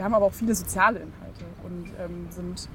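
Behind this woman there is noticeable background noise. Her speech runs very fast. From Saxony-Anhalt, Burgenlandkreis (rural eastern Germany). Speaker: youth political organization spokesperson. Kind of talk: interview.

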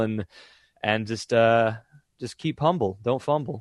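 Against a quiet background, a man talks at a fairly slow pace in a medium pitch, the sound dry and close with no echo. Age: 20s. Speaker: voice actor. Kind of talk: casual interview. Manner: halting, many fillers.

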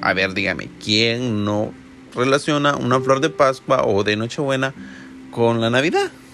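A man speaks at a fairly slow pace in a medium pitch with ordinary pitch variation, over noticeable background noise. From El Salvador. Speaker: podcast host. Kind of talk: casual monologue.

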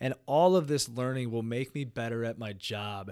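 On a very clean recording with a silent background, a man speaks at a medium pitch and a moderate pace, with ordinary pitch variation. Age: 30s. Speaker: podcast host, entrepreneur. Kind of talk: solo monologue, personal story. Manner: casual, profane.

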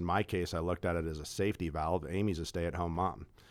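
A man's very deep, low voice with an American accent, fairly even intonation, and a very clean recording over a silent background. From Kansas City area. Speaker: personal wealth manager. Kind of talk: casual interview.

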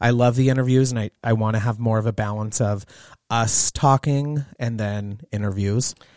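A plain, everyday voice from a man at medium pitch and moderate pace, fairly even in intonation, dry and close with no echo, on a very clean recording with a silent background. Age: 30s. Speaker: podcast co-host, salon professional. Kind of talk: casual chat.

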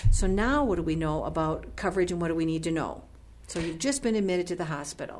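A woman speaks very fast in a fairly low voice with lively intonation, and room echo is audible. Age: 50s. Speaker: radio co-host, senior living representative. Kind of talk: radio interview.

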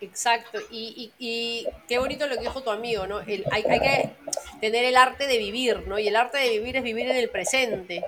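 Fairly high female voice, moderately paced and fairly level in intonation, over noticeable background noise. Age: 40s. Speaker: life coach. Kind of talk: interview. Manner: hesitant, many fillers.

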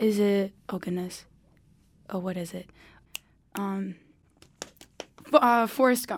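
In an American accent, a woman speaks at a very slow pace with long, frequent pauses and big swings in loudness. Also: medium pitch for a woman, ordinary pitch variation. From US South, eastern North Carolina. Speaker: college student guest. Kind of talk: casual chat.

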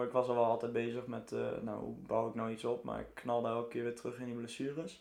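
A man talks at a very fast pace with a medium pitch. Noticeable background noise and audible room echo surround him. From Netherlands, Arnhem. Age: 20s. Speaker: survival run trainer and entrepreneur. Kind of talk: casual interview.

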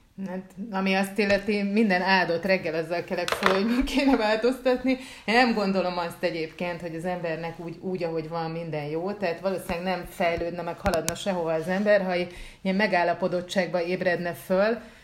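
Against noticeable background noise, a woman talks fairly quickly at medium pitch with ordinary pitch variation. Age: 40s. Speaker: podcast co-host, writer. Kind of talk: casual chat.

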